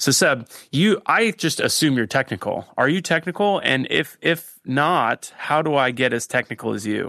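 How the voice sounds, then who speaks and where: The sound is dry and close with no echo, on a very clean recording with a silent background. The tone is bright and sharp, the pace moderate with hardly any pauses, and the intonation lively. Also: man, fairly high pitch for a man. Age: 40s. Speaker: podcast host. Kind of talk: casual interview chat. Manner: animated.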